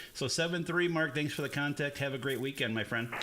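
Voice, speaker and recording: The speech races along at a very fast pace over noticeable background noise. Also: man. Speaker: ham radio operator, streamer. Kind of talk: live radio contact chat. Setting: radio shack live stream.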